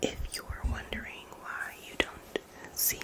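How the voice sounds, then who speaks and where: The speech is whispered. Noticeable background noise can be heard behind it. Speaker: ASMR artist. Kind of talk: ASMR story time. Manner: soft-spoken; casual, rambling.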